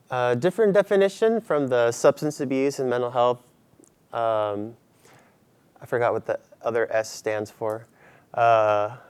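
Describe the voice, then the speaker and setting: A fairly slow pace from a man with a medium-pitched voice. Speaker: mental health counselor. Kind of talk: lecture. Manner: hesitant, many fillers; soft-spoken.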